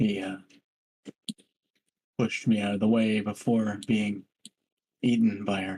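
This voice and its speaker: A man does a put-on character voice in a raspy, fairly low pitch, with monotone, flat intonation that stays part of the act. He talks at a moderate pace with long, frequent pauses. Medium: actual play.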